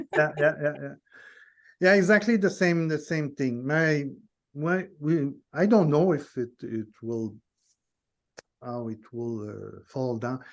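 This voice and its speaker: With a non-native accent, a man with a fairly high pitch talks at a very slow pace, leaving long, frequent pauses, his loudness swinging widely and his intonation lively. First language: not English. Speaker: guest in nonduality conversation. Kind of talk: casual chat. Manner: halting, many false starts.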